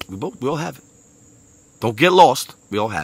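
In a Brooklyn accent, a man talks at a very fast pace with an animated tone, the sound dry with no echo. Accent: New York (Brooklyn). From Brooklyn, New York. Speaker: motivational speaker. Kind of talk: motivational monologue. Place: garden. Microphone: earbuds.

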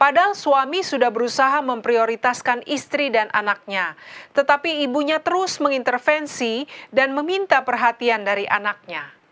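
A woman's high voice with a bright, sharp tone, lively intonation and a moderate pace. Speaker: co-host. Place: studio. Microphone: lapel.

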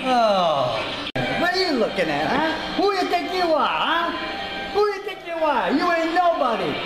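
A man talks at a fairly slow pace over loud background noise. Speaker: comedy grandpa character. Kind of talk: angry comedic rant. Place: home room. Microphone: phone near.

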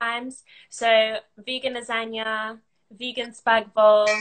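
A woman with a London accent speaks at a very slow pace, her fairly high voice held to a flat, monotone delivery. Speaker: content creator and business owner; content creator. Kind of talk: casual interview. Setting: online live video call. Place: home room. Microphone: video call.

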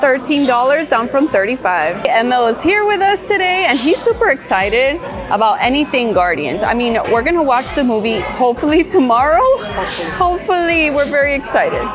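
Clear music plays behind a woman's high-pitched voice. She talks at a fairly quick pace with hardly any pauses. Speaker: shopping vlogger. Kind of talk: casual vlog chat. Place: shop. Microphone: phone near.

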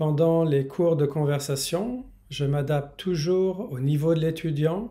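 Speaking at a very slow pace in a Parisian accent, a man has a fairly high, somewhat breathy voice with a dark, mellow tone and ordinary pitch variation. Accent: classic Parisian. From France, Paris. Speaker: language teacher; French teacher. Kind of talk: promotional introduction; self-introduction promo talk. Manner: bilingual, repeating each line in English. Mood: friendly, smiling. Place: home room. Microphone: phone near.

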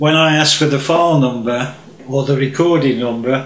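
A man at a moderate pace with audible room echo. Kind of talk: direct-to-camera appeal. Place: home room.

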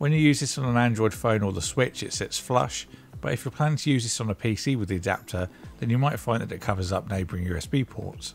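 This man talks fast with vocal fry at a fairly low pitch. His pitch varies in an ordinary way.

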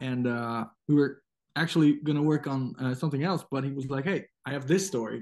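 Against a quiet background, a man with a fairly high pitch talks at a fairly quick pace with ordinary pitch variation. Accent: Dutch. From Netherlands. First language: Dutch. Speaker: comic book artist. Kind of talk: casual interview. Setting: video call. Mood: warm, nostalgic. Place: home room. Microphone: video call.

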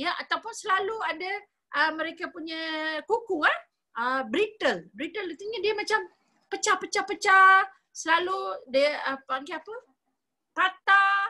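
In a raised, projected voice, a woman speaks at extremely high pitch with a bright, sharp tone, lively intonation, big swings in loudness, a fairly slow pace and long, frequent pauses against a quiet background. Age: 50s. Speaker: nutritionist; presenter. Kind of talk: sales presentation. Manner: animated. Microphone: video call.

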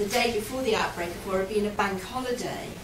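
A woman speaks over noticeable background noise. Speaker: lecturer. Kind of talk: lecture. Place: hall.

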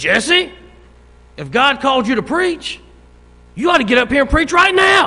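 A man's put-on character voice, extremely high-pitched, gruff, raised and projected, at a moderate pace. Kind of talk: plain-spoken, blunt. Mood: playful, joking.

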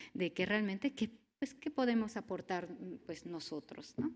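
A woman's plain, everyday voice at a moderate pace, with lively intonation. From Mexico. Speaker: university network engineer; conference presenter. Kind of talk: conference talk. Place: hall. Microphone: podium.

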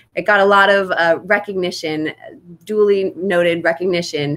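A woman with a medium pitch speaks with ordinary pitch variation. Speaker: fitness company livestream host. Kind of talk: live-streamed interview. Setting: sun porch, live video stream. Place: home room. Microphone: webcam.

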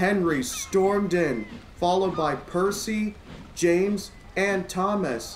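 Someone reads a text. It is plain reading aloud.

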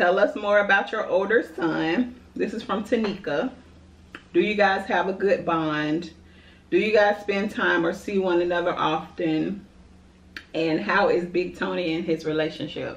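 A woman at a fairly slow pace with ordinary pitch variation and audible room echo. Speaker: food vlogger. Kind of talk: casual vlog chat, Q&A while eating. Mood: relaxed, chatty, laughing. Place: home room. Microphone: camera far.

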